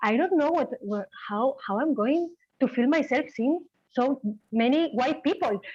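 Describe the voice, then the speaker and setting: The speech is fairly slow, with lively intonation. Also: woman, high pitch for a woman. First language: Spanish. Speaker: hospital clown. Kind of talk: casual chat. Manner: halting.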